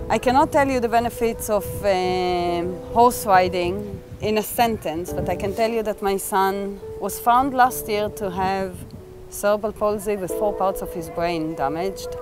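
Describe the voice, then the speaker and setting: Over clear background music, a woman talks at a fairly slow pace with ordinary pitch variation, the sound dry with no echo. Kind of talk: interview answer. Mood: earnest, reflective. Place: open country.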